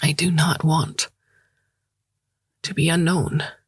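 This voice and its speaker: Put-on character voice, hoarse, monotone and flat, at a fairly slow pace. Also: man, fairly high pitch for a man. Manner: emotional, vulnerable.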